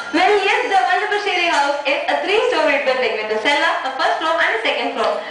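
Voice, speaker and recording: Through noticeable background noise, a woman with an extremely high pitch talks in an upbeat tone at a fairly quick pace, with very wide pitch swings and hardly any pauses. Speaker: TV show host / anchor. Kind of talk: TV home-tour presenter reading. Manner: upbeat, friendly, chatty.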